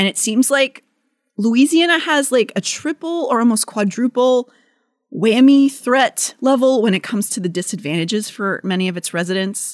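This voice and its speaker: A woman with a plain, everyday voice, fairly high pitched, at a moderate pace, in a dry, close sound with no echo. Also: lively intonation. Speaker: podcast host. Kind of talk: casual chat, informative storytelling.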